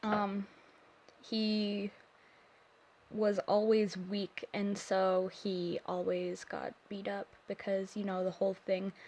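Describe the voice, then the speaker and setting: The woman's voice sits at a medium pitch with fairly even intonation. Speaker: digital artist. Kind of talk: casual voiceover for art speedpaint. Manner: hesitant, awkward, many pauses and fillers.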